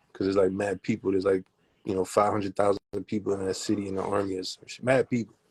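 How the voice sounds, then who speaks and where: A dry, close sound with no echo, a Miami accent, flat monotone intonation and a very fast pace. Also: man, fairly low pitch for a man. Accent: Miami dialect, sounds Southern. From Germany (Heidelberg). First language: German. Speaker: rapper. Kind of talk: casual interview.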